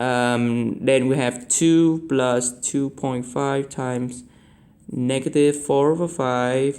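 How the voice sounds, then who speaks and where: The voice belongs to a man with a medium pitch. It carries ordinary pitch variation. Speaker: math tutor. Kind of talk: tutorial. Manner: halting.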